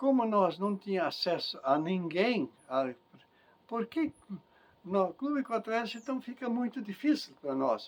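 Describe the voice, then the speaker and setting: His high-pitched voice moves through very wide pitch swings as the man speaks at a fairly slow pace. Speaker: interviewee, farmer and community leader. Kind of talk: life-story interview. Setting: at home.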